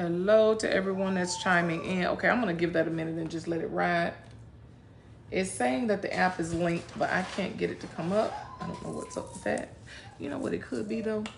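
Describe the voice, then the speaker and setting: A woman with a fairly low voice and ordinary pitch variation speaks at a fairly quick pace, with noticeable background noise in the recording. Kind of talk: casual livestream chat. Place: home room. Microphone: phone near.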